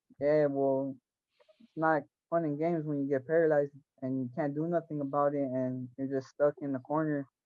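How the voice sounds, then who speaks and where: Speaking at a fairly quick pace, a man with an American accent uses a fairly high pitch and monotone, flat intonation. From Los Angeles area, California. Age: 20s. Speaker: former gang member, shooting victim. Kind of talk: interview. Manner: halting, many fillers and repetitions.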